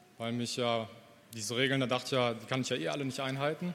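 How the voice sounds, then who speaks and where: A man is talking. His voice carries an audible echo from the room. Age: 30s. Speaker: church member. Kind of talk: testimony. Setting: church service. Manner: halting.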